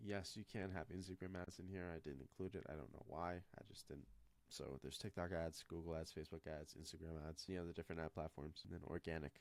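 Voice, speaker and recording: A man's very deep, low pitch with vocal fry, ordinary pitch variation and a very fast pace. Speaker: marketing consultant. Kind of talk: screen walkthrough tutorial. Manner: casual, conversational.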